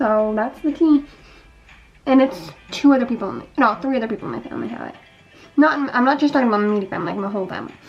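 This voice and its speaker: With music in the background, a woman talks at a very fast pace in a lively intonation, broken by long, frequent pauses. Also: fairly high pitch for a woman. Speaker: beauty vlogger. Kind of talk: casual vlog while doing makeup. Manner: casual, filler-heavy.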